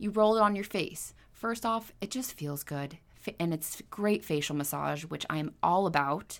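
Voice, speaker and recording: A woman's fairly low voice with a Californian accent and lively intonation, on a very clean recording with a silent background. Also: moderate pace. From Southern California, Ventura County. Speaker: esthetician and spa owner. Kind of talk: interview conversation. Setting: her skincare studio.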